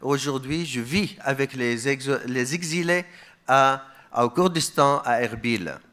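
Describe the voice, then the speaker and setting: A man speaks with a bright, sharp tone at a fairly high pitch. His intonation is lively, but his pace is very slow. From Iraq, Mosul. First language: Aramaic (speaking French). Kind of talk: conference speech.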